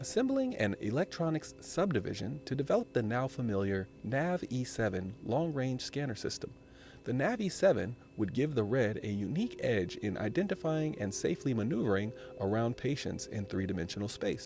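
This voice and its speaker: Soft-spoken and somewhat breathy, a man talks at a medium pitch and a moderate pace. His intonation is lively. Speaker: YouTube gaming channel host. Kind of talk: audiobook-style reading of a game's written article, delivered in an ASMR style. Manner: soft, ASMR-style delivery.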